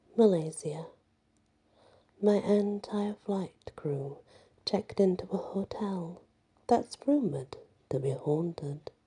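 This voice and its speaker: A soft-spoken voice talks at a very slow pace. Long pauses come often. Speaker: ASMR storyteller. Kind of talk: ghost story reading.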